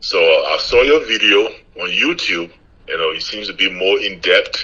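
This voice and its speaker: Someone with a Liberian accent speaks at a moderate pace amid noticeable background noise. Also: man. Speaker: aspiring real estate investor. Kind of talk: phone call with a coach.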